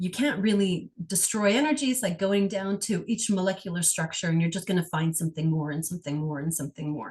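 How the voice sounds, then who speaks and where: A woman talks at a very fast pace with hardly any pauses and lively intonation. Her voice is somewhat breathy. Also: medium pitch for a woman. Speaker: energy healer. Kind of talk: guided healing session.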